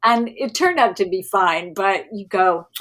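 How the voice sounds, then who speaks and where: This is a normal speaking voice. Its intonation is lively. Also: woman. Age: 60s. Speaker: stand-up comedian. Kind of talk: casual chat.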